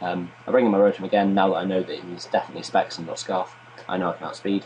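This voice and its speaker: A quiet man talks at a very fast pace with big swings in loudness. Noticeable background noise runs behind him. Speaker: gaming commentator. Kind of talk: gameplay commentary. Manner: low-key.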